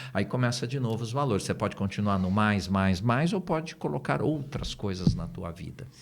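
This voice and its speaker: Over noticeable background noise, a man talks at a moderate pace with hardly any pauses and very wide pitch swings. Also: fairly low pitch for a man. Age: 60s. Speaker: NLP trainer and business partner. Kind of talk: podcast interview. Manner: casual, hesitant with fillers.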